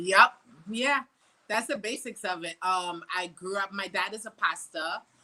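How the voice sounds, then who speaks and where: A woman at medium pitch and a fairly slow pace, bright and sharp in tone, with ordinary pitch variation and big swings in loudness. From Trinidad, then US from age 13. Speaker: soca artist. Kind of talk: casual interview.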